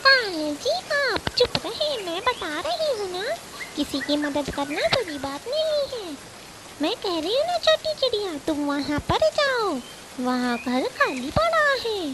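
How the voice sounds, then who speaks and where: Against loud background noise, a woman uses a cartoonish character voice at an extremely high pitch and a fairly slow pace. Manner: cunning, mocking.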